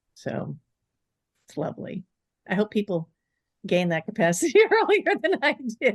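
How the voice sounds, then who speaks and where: A somewhat breathy woman's voice of fairly high pitch, with very wide pitch swings, big swings in loudness and long, frequent pauses, in a dry, close sound with no echo. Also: moderate pace. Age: 60s. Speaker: author and polyamory educator. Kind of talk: podcast interview. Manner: animated.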